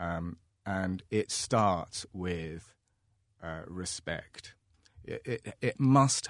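A man speaks at a very slow pace with a very deep, low pitch. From London, England. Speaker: art gallery owner. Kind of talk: panel discussion. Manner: halting, many fillers.

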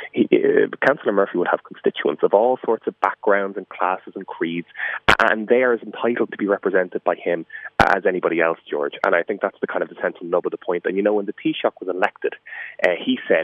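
A man with an Irish accent, talking at a very fast pace. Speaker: politician. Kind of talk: radio interview. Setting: phone call.

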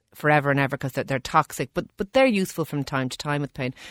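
Very fast and very deep in pitch, a woman with an Irish accent speaks in a dry, close sound with no echo on a very clean recording with a silent background. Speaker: doctor (GP). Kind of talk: radio health advice segment. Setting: studio in Dublin.

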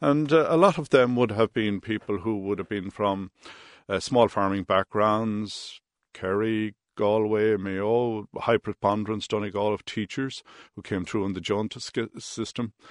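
A man's fairly low voice in an Irish Midlands accent, fairly slow, with ordinary pitch variation, a quiet background and a dry, close sound with no echo. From Ireland, Roscommon town. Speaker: industrial relations mediator. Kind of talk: radio interview.

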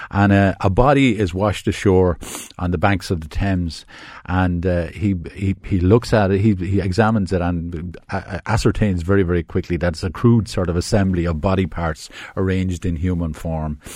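A man with an Irish accent, very deep and low in pitch, at a moderate pace. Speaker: film critic. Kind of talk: casual chat. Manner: enthusiastic.

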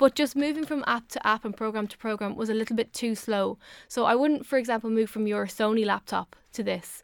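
Fairly quick and fairly high-pitched, a woman with an Irish accent speaks with fairly even intonation on a very clean recording with a silent background, the sound dry and close with no echo. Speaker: technology reviewer. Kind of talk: radio chat. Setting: studio.

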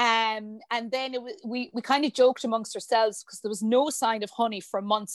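A woman with an Irish accent and high pitch speaks at a fairly quick pace with fairly even intonation, recorded dry and close with no echo against a quiet background. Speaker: hotel director and industry body president. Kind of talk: casual interview.

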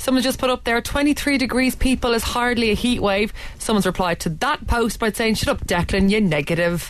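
With hardly any pauses, a woman talks at a fairly quick pace and a fairly high pitch, using lively intonation and very even loudness. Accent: Dublin. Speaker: radio host. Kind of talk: breakfast radio chat. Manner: animated.

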